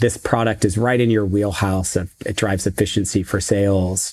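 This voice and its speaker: A man with a fairly low pitch speaks in a Californian accent on a very clean recording with a silent background. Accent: General American (Californian). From US West Coast. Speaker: tech executive. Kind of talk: interview.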